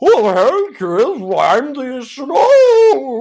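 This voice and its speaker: A high-pitched, put-on character voice is used throughout. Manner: obnoxious.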